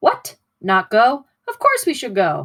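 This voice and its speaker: A put-on character voice, female-sounding and fairly high in pitch, at a fairly slow pace in a very clean recording with a silent background. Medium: read story. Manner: folksy, hearty.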